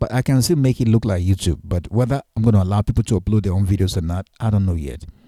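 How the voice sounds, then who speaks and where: Fairly quick and somewhat breathy, a man speaks in a fairly low voice with a dark, mellow tone and lively intonation, on a very clean recording with a silent background and a dry, close sound with no echo. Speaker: guitar teacher and online creator. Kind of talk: screen-recorded tutorial vlog. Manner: fast; halting, many false starts.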